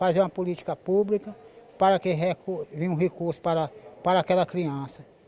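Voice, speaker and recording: The man has a high pitch and talks at a fairly quick pace. His intonation stays fairly even. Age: 70s. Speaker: folk culture master. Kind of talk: interview.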